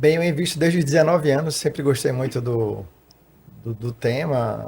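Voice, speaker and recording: This man talks at a fairly quick pace with a somewhat breathy voice. His intonation stays fairly even. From Recife, Pernambuco, northeast Brazil. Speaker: financial consultant and tax auditor. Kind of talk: podcast interview.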